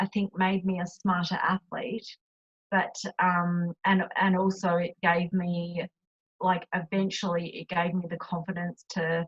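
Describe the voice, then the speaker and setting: A woman with an Australian accent, somewhat breathy, fairly slow and fairly even in intonation. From Australia, Adelaide. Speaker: retired Olympic rower and cyclist. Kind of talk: interview. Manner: halting, many fillers.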